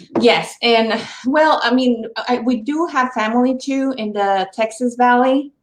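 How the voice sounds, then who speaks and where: In a Mexican accent, a woman with a high pitch talks at a fairly slow pace with ordinary pitch variation. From Mexico, Monterrey. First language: Spanish. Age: 40s. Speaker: interview guest. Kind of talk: casual interview.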